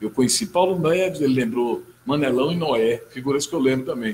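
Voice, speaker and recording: A somewhat breathy voice at a moderate pace, over light background noise. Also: man. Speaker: talk show host. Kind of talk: interview. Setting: studio. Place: studio. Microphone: studio mic.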